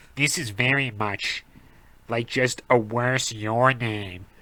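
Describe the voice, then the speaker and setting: The put-on character voice is nasal and raspy. It moves at a very slow pace with fairly even intonation. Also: man, medium pitch for a man. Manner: snobby, dismissive.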